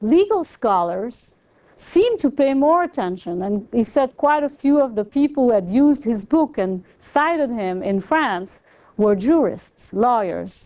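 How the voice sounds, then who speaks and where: A woman with a French accent speaks at a high pitch with very wide pitch swings. Her pace is fairly slow against a quiet background. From Belgium. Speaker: economics professor. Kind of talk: lecture.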